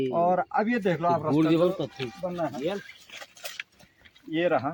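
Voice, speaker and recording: A man speaks with a high pitch. Noticeable background noise can be heard behind him. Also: ordinary pitch variation, very even loudness. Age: 40s. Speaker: village vlogger. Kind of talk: walking vlog with interviews.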